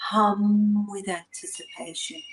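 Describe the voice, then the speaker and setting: A woman's somewhat breathy, medium-pitched voice, calm and soothing, at a very slow pace. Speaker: spoken word artist and guided meditation facilitator. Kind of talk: guided meditation, poetic spoken word. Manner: slow, calm, soothing.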